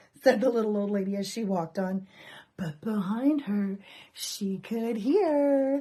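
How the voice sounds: The clip has a natural reading voice. It is a natural reading voice throughout.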